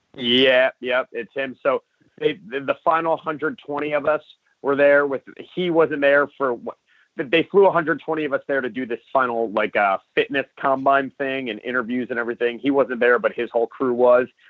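Pitched fairly high for a man, he has a plain, everyday voice with ordinary pitch variation. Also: moderate pace. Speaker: wrestler and reality show contestant. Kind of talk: interview.

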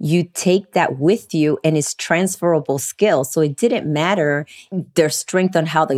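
A woman with an American accent talks in a very deep, low pitch. Her pace is fairly slow and her pitch variation is ordinary. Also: dry, close sound with no echo. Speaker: human resources professional. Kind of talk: casual panel discussion.

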